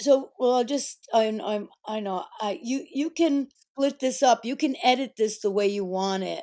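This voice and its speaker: Her voice high in pitch with a dark, mellow tone, a woman speaks at a moderate pace with lively intonation. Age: 60s. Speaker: performance artist. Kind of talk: interview.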